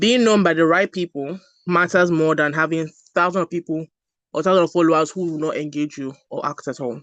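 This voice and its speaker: Recorded with a dry, close sound and no echo over a quiet background, the speaker talks at a fairly quick pace with a Nigerian accent. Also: woman. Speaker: brand strategist. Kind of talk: online masterclass talk.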